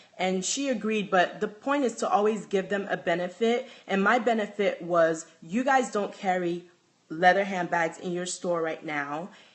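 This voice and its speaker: A woman with a Nigerian accent, medium in pitch with ordinary variation, at a moderate pace. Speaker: handbag designer. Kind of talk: live stream chat. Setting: live video stream from home.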